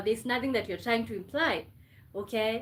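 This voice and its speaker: The speaker is a woman. She talks with a Kenyan accent. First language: Kenyan mother tongue / Swahili. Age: 20s. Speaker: live streamer. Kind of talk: casual live stream chat.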